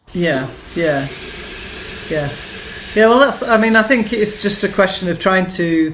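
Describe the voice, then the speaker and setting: A woman's lively intonation broken by long, frequent pauses, with audible room echo and noticeable background noise. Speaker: beginner guitar student and artist. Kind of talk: interview. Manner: halting, many fillers.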